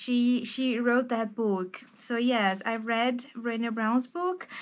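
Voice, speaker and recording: Against a quiet background, a woman speaks at a very slow pace with a Brazilian accent. Her voice is fairly high, with ordinary pitch variation. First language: Portuguese. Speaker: book youtuber and English teacher. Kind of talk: casual book review monologue. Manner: informal with frequent fillers.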